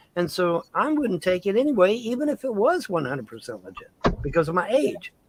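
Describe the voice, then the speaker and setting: A man's high-pitched voice moves at a fairly quick pace, with very wide pitch swings and big swings in loudness. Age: 50s. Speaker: livestreamer. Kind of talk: casual chat. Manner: halting.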